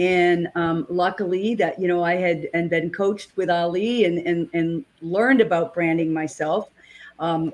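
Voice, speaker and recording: A woman with a fairly low voice speaks in a New England accent. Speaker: network marketer, co-host. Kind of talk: casual discussion.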